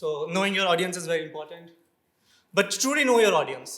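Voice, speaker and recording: A high-pitched man with a bright, sharp tone amid audible room echo. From India. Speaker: conference speaker. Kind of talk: lightning talk. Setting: stage with audience. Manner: animated.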